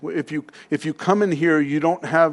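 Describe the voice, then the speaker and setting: A man speaks at a moderate pace with a fairly high pitch, ordinary pitch variation, and a plain, everyday voice. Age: 60s. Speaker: pastor. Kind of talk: sermon.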